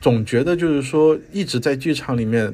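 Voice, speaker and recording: A man's normal speaking voice at a moderate pace, with ordinary pitch variation, in a very clean recording with a silent background. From Guangzhou, China. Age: 40s. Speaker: theatre producer and critic. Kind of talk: casual chat.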